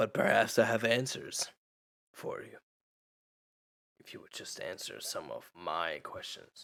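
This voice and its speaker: A man uses a raspy, put-on character voice. He speaks at a fairly slow pace. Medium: actual play. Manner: cryptic, answers questions with questions.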